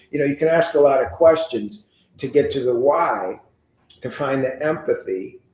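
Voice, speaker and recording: This man's voice sits fairly high. The pitch moves up and down in an ordinary way. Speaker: mortgage coach. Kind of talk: live coaching session. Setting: live stream. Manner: fast; animated.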